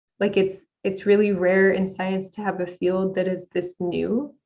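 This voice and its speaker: A woman with an American accent talks at a fairly slow pace. It is an ordinary speaking voice. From United States. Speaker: astronomer, exoplanet researcher. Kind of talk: conference talk Q&A.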